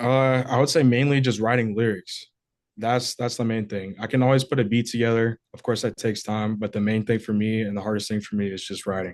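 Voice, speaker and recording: Against a quiet background comes a normal speaking voice at a fairly quick pace. The intonation stays fairly even. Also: man, medium pitch for a man. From US, moved around; home state Georgia, high school in Wisconsin. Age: 20s. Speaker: rapper. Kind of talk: interview.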